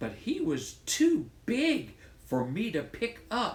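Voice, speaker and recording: A man speaks very slowly in a high-pitched, put-on character voice. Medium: read story. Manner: cheerful, earnest.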